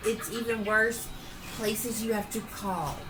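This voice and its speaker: A woman speaks at a moderate pace with a Southern US accent and fairly high pitch. Music plays in the background, and there is audible room echo. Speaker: podcast co-host. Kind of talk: casual chat. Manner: animated.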